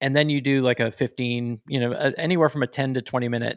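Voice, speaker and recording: A plain, everyday voice, a man at medium pitch with fairly even intonation and a fairly quick pace, dry and close with no echo on a very clean recording with a silent background. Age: 40s. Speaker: podcast host. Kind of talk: casual chat.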